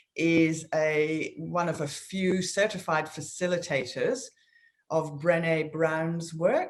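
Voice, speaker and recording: A woman speaks with fairly even intonation in audible room echo. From Scotland. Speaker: business co-founder. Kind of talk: interview. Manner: hesitant, many fillers.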